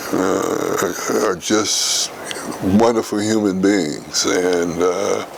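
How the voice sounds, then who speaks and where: Amid noticeable background noise and audible room echo, a man with an American accent speaks very slowly with fairly even intonation. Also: fairly low pitch for a man. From rural Missouri, US. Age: 80s+. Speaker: retired administrator, longtime resident. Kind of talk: interview. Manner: halting, many fillers and repetitions.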